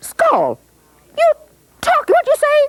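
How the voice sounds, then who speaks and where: The voice is an extremely high-pitched, put-on character voice. It sounds squeaky. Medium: read story. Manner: loud, brash.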